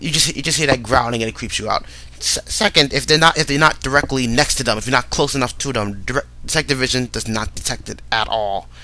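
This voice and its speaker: With noticeable background noise behind him, a man rattles along very fast in a medium pitch, his pitch varying in an ordinary way. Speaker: gaming commentator. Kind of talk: casual game commentary. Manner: hesitant, repeats words.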